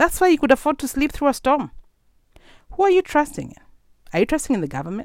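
The speaker talks at a very fast pace with lively intonation, big swings in loudness, and long, frequent pauses. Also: woman, high pitch for a woman. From Kenya. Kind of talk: sermon. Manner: animated.

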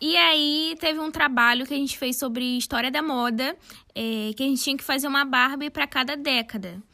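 A woman's high, bright, sharp voice, raised and projected, at a fairly quick pace on a very clean recording with a silent background. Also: ordinary pitch variation. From Brazil, São Gonçalo (Rio de Janeiro state). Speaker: fashion designer and content creator, podcast co-host. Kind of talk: casual chat.

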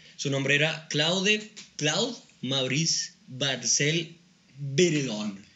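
A man speaks with a Mexican accent. His pitch is fairly high, and his pace is very slow. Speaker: podcast co-host. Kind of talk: casual chat.

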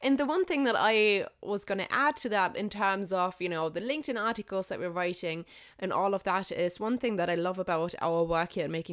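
On a very clean recording with a silent background, a woman speaks at a medium pitch with lively intonation. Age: young. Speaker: podcast co-host. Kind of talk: interviewing, casual chat.

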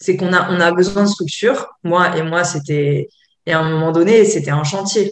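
A woman with a fairly low pitch speaks at a moderate pace, using ordinary pitch variation. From France, Côte d'Azur. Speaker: yoga teacher and therapist. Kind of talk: interview. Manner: hesitant, many fillers.

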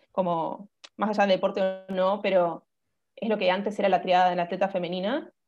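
This woman talks at a fairly quick pace in an ordinary speaking voice. Her pitch sits in the middle range and her intonation stays fairly even. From Buenos Aires, Argentina. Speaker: nutritionist and dancer. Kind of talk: interview, informative chat.

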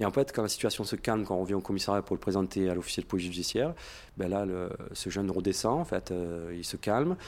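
Talking very fast with ordinary pitch variation, a man with a fairly low voice is heard on a very clean recording with a silent background. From Marseille, southern France. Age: 40s. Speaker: police officer. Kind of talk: recorded testimony.

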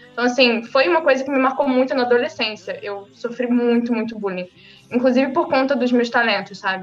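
With music in the background, a woman speaks at a fairly quick pace with a high pitch and ordinary pitch variation. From Brazil, Rio de Janeiro state (São Gonçalo). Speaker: independent novelist. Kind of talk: casual interview. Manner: talkative.

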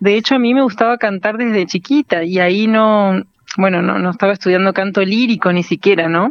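At a fairly quick pace, a woman talks in an ordinary speaking voice, medium in pitch, with very even loudness and ordinary pitch variation. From Argentina, Entre Ríos (Paraná). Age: young. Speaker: singer and music teacher. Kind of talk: radio interview. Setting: phone call.

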